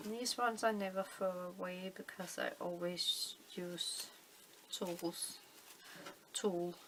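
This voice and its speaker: A woman with a Danish accent and medium pitch, at a very slow pace with long, frequent pauses and fairly even intonation, over noticeable background noise. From Denmark. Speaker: crafting video maker. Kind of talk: tutorial. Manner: halting, many fillers.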